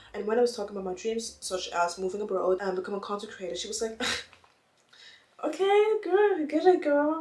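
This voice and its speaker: Against noticeable background noise, the pitch of this voice rises and falls in very wide swings. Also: woman. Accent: non-native. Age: young. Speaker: lifestyle YouTuber. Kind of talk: casual talk to camera.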